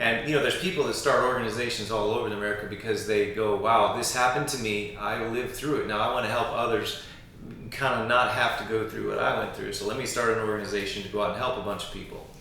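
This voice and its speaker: A man talking at a very fast pace with fairly even intonation over noticeable background noise. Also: medium pitch for a man. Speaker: interviewer, channel host. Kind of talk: interview conversation.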